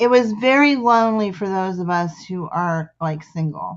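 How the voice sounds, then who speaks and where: With a Midwestern US accent, a woman speaks at a medium pitch with ordinary pitch variation. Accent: Midwestern accent, calls it plain. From US Midwest. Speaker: poetry group founder and host. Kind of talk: casual chat.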